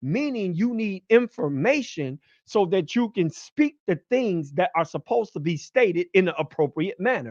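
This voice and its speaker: Over a quiet background, a man speaks loudly at a high pitch with very wide pitch swings. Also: dry, close sound with no echo. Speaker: podcast host. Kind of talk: podcast monologue.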